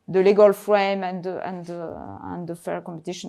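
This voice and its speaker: Speaking at a moderate pace, a woman with a non-native accent has a medium-pitched voice and a dark, mellow tone. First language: not English. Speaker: judge at a patent court. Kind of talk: panel discussion. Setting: event with live and online audience. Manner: halting, many repetitions and fillers.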